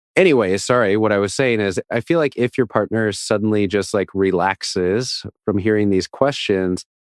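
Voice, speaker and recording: A man with a slight Minnesota accent speaks at a moderate pace and a fairly low pitch, with ordinary pitch variation and hardly any pauses. His loudness is very even, and the sound is dry and close with no echo. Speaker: podcast co-host. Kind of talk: casual chat.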